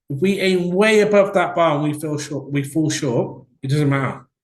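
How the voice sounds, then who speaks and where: A man speaks somewhat breathily with a Welsh accent. His intonation is lively and his pace moderate. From Wales. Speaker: business coach. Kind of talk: webinar presentation. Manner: conversational, with filler words.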